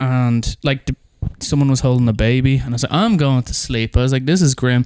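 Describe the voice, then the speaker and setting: A man with an Irish accent at medium pitch and a fairly quick pace, fairly even intonation, and a dry, close sound with no echo. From Ireland. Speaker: drummer in a band. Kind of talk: casual chat. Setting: in bed at home.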